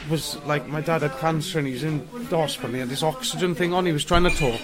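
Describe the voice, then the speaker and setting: A man speaks in a South Welsh accent with ordinary pitch variation. Music plays in the background, and the room echo is audible. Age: 40s. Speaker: homeless man. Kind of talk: interview. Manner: halting.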